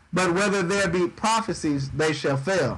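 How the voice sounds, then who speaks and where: A man talks at a fairly slow pace with a high pitch and lively intonation. Room echo can be heard. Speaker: bible teacher. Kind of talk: sermon. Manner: dry.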